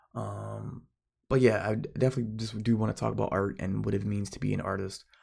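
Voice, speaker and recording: Soft-spoken, the man talks at a fairly low pitch. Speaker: amateur artist vlogger. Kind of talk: casual vlog monologue. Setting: at home at night. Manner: soft-spoken, kept quiet for neighbors; halting, many fillers.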